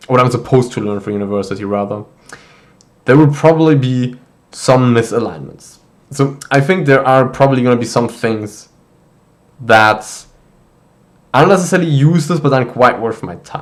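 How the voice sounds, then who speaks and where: A man speaks at a medium pitch in a German accent, with ordinary pitch variation. His pace is moderate, broken by long, frequent pauses. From Germany. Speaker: university student vlogger. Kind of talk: casual vlog monologue. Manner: casual with many fillers and false starts.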